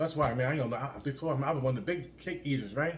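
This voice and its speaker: Audible room echo surrounds a man with a fairly high pitch and a somewhat breathy voice. He speaks at a very fast pace in an animated tone, with ordinary pitch variation. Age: 60s. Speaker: fitness vlogger. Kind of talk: motivational casual talk to camera. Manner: repetitive, halting with word repeats.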